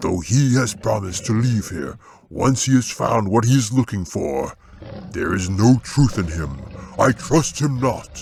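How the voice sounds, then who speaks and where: A man puts on a booming character voice. His pitch sits at a medium level. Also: moderate pace. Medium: read story.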